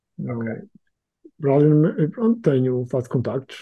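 A man talks at a very slow pace. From Angola. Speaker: freelance designer. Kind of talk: casual chat. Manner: halting.

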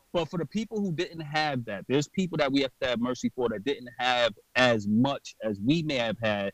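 A man at medium pitch talks at a moderate pace with lively intonation, the sound dry and close with no echo. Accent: New York. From New York, Brooklyn. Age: 30s. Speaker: podcaster and clothing designer in recovery. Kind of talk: interview. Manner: animated.

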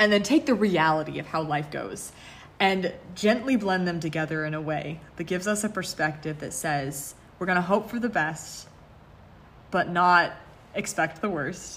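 A woman with a plain, everyday voice speaks at a moderate pace, her fairly low pitch showing ordinary variation. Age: 20s. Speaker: podcast co-host. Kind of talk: casual chat.

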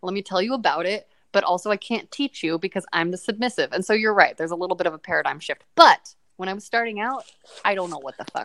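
Speaking at a very fast pace with big swings in loudness and ordinary pitch variation, the voice sounds dry and close with no echo. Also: woman, medium pitch for a woman. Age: 30s. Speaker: sex podcast host and actor. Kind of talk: casual chat.

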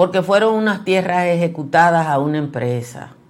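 Audible room echo surrounds a woman with a fairly low pitch. She speaks fairly slowly, with ordinary pitch variation. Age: 60s. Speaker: journalist and news commentary host. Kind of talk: news commentary.

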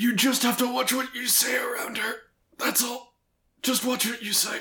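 In a put-on character voice, a man talks at an extremely high pitch and moderate pace, raspy and with monotone, flat intonation. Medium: actual play. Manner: stammering, hesitant.

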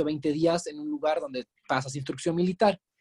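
A man speaks in a high pitch. The sound is dry and close, with no echo. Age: 30s. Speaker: real estate agent. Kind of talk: interview.

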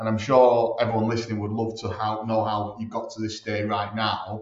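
Fairly quick, somewhat breathy speech from a man. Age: 30s. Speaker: franchisor, recruitment background. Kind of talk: interview. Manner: casual, animated.

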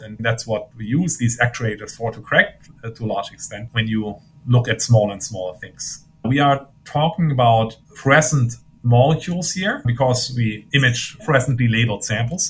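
Somewhat breathy, a man with a German accent talks with big swings in loudness. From Germany. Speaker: physicist. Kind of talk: interview.

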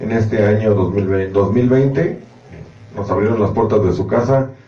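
This man speaks at a moderate pace with ordinary pitch variation, with noticeable background noise and audible room echo around him. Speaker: dance organization member. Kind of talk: casual chat.

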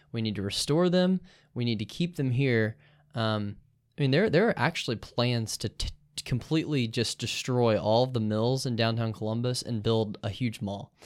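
At a moderate pace and with ordinary pitch variation, an unremarkable speaking voice comes through in an American accent on a very clean recording with a silent background. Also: man, medium pitch for a man. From US South. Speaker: law student. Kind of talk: casual interview.

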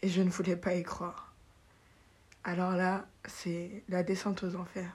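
A woman at medium pitch, speaking at a very slow pace. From Paris, France, raised in Benin. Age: 20s. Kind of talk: personal testimony, faith storytelling, unscripted. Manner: reflective, halting, sincere, emotional; spontaneous, laughs often, self-correcting.

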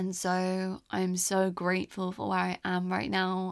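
A woman with a southern English accent. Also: very clean recording, silent background. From England (London, English countryside). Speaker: podcast host. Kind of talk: personal storytelling monologue. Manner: gentle, reflective.

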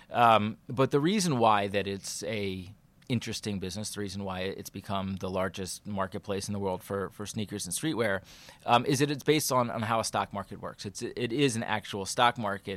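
A man talks at a fairly quick pace in a fairly low pitch with ordinary pitch variation. His is an ordinary speaking voice. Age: 40s. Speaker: startup co-founder. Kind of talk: interview. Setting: office. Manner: casual with filler words.

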